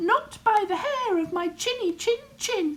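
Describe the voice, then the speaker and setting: In a put-on character voice, a woman speaks fairly slowly with an extremely high, squeaky pitch. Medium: read story. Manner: defiant.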